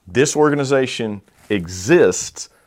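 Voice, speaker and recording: In a very clean recording with a silent background, a man with a Southern US accent talks with ordinary pitch variation. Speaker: podcast host and pastor. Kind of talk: casual interview chat.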